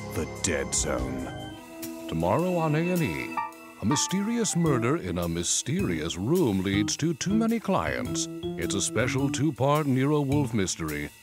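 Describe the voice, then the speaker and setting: With music in the background, a man at medium pitch talks at a fairly slow pace, hardly pausing, his pitch swinging very widely. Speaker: voice actor. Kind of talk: TV network promo read. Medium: voice reel.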